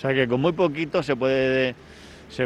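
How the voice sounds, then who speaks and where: At a moderate pace, a man talks in a medium pitch. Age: 50s. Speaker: cooperative president. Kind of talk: interview during site tour. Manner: halting.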